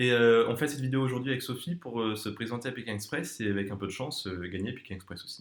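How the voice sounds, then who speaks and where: Very fast speech comes from this man. Pauses hardly appear. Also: medium pitch for a man, ordinary pitch variation. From southern France, near Perpignan. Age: 20s. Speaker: student, casting applicant. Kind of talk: casting video self-presentation. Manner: hesitant, many fillers.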